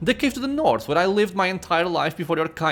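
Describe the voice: Lively intonation marks this plain reading aloud.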